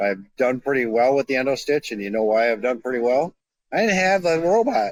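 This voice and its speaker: Using an unremarkable speaking voice at medium pitch, a man speaks with lively intonation in a dry, close sound with no echo. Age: 60s. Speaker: surgeon. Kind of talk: casual chat.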